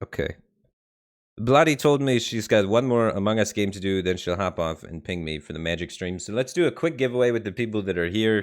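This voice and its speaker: In a plain, everyday voice, a man with an American accent speaks fairly low in pitch at a fairly quick pace. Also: lively intonation. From Detroit, US Midwest. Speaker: game streamer. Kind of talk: live stream chat. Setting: live stream.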